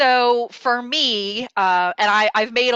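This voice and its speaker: Against a quiet background, a woman speaks in an animated, bright and sharp tone, with a dry, close sound and no echo. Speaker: financial advisor. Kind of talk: interview. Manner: fast.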